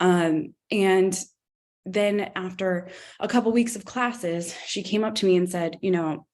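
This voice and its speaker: This woman talks at a fairly slow pace with a medium pitch. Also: fairly even intonation. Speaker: camp director and educator. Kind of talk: conference talk. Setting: conference talk to audience. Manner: hesitant, many fillers.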